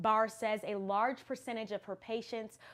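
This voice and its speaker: Her pitch fairly high, a woman talks at a fairly quick pace. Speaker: TV news reporter. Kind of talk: TV news report. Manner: precise.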